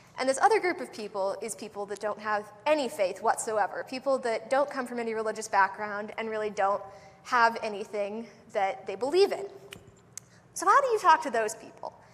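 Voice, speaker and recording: Through noticeable background noise, a woman speaks at a fairly quick pace with ordinary pitch variation and big swings in loudness. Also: fairly high pitch for a woman. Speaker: lay preacher. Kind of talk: sermon. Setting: church. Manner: fast.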